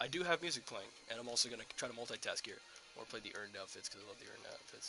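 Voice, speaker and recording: A man talks at a very fast clip. Behind him, music is playing. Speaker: gaming streamer. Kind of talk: live gameplay stream. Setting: on camera, live stream. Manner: slurred words.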